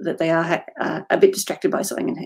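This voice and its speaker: Her voice sits fairly low, with very wide pitch swings. This woman talks very fast with an Australian accent. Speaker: fantasy author. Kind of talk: interview.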